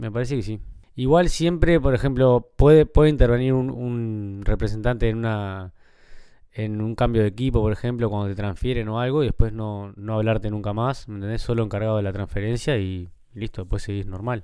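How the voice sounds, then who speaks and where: Speaking at a fairly quick pace, a man with a Uruguayan accent has a dark, mellow tone. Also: medium pitch for a man, ordinary pitch variation. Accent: Uruguayan Rioplatense Spanish. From Uruguay, Montevideo (Carrasco). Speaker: former professional footballer, youth football coach. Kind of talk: casual interview chat. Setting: at home.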